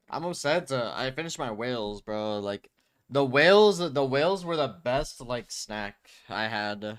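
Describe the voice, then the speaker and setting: A man talks at a fairly slow pace, medium in pitch, in an ordinary speaking voice. His intonation is lively. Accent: American. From United States. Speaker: streamer reacting to videos. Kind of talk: casual live-stream commentary.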